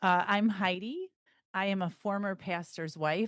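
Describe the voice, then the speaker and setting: A woman with a Midwestern accent and ordinary pitch variation, recorded with a dry, close sound with no echo against a quiet background. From US Midwest, northern Illinois. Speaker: podcast co-host, executive coach. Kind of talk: casual chat.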